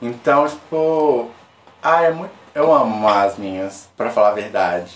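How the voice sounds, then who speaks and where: With an animated tone and lively intonation, a man speaks at a fairly slow pace. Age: 20s. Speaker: podcast guest, company worker. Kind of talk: casual chat.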